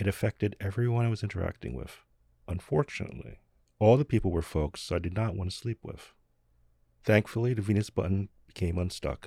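A man with a fairly low pitch speaks at a fairly quick pace, somewhat breathy with a dark, mellow tone. The sound is dry and close, with no echo. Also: ordinary pitch variation. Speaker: podcast host. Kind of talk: guided meditation.

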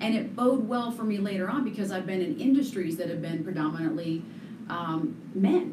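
With noticeable background noise behind her, a woman in an American accent speaks at a medium pitch and moderate pace with lively intonation. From Colorado, US. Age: 40s. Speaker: real estate agent and radio/TV broadcaster. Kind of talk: interview.

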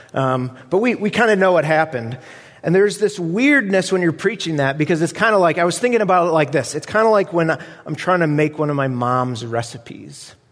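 Noticeable background noise beneath a fairly quick pace and lively intonation. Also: man, fairly high pitch for a man. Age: 40s. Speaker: guest preacher. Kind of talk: sermon.

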